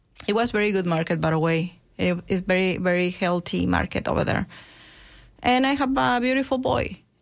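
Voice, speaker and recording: A woman talks at a fairly quick pace with very wide pitch swings around a medium pitch, her loudness kept very even. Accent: Mexican. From Mexico. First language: Spanish. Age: 50s. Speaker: chef and restaurant owner. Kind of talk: interview. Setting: studio.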